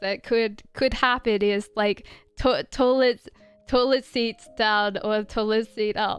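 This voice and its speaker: The speech moves at a fairly slow pace with monotone, flat intonation. Music plays in the background. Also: woman. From Australia. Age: 30s. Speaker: tarot reader. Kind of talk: live stream card reading chat. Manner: casual, halting with repetitions.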